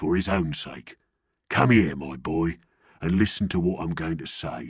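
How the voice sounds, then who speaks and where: A man puts on a growling character voice, very deep and low in pitch, at a moderate pace. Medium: read story. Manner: severe, threatening.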